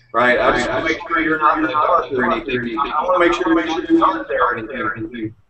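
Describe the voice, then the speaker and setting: Noticeable background noise fills the recording. A man speaks fairly quickly within it. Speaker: internet marketing trainer. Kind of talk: online training webinar. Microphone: echo from listener's speakers.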